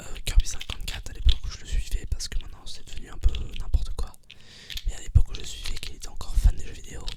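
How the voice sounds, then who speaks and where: Whispering at a very fast pace, a man swings widely in loudness. Noticeable background noise runs beneath him. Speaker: ASMR creator. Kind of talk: casual ASMR talk to camera. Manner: whispered.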